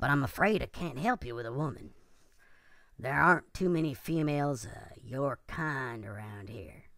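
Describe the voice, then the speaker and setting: A put-on character voice, raspy and low-to-middle in pitch. It moves at a moderate pace. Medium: audio drama. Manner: gruff, wary, streetwise.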